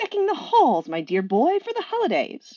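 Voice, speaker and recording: Someone uses a squeaky, put-on character voice at a moderate pace. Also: woman. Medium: read story. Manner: fussy, genteel.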